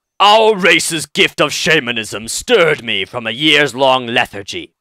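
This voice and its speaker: A man puts on a character voice at a fairly high pitch. He speaks at a moderate pace in a very clean recording with a silent background. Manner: gruff, warrior-like.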